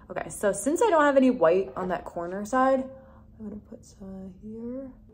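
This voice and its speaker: A woman with a fairly high pitch speaks at a moderate pace and lively intonation. Her loudness swings widely, over noticeable background noise. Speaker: beauty vlogger. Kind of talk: tutorial. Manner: soft-spoken.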